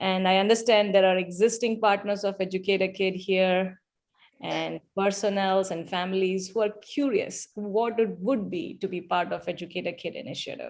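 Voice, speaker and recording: Fairly even in intonation, a woman speaks with a Malayali accent. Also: medium pitch for a woman, moderate pace, very clean recording, silent background. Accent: Malayalam. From India. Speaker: event speaker, donor. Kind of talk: speech.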